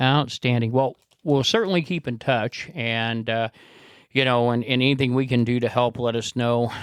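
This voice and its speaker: This is a man with a normal speaking voice at a medium pitch. His intonation is fairly even, on a very clean recording with a silent background. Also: moderate pace, dry, close sound with no echo. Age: 60s. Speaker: podcast host. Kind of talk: casual interview chat.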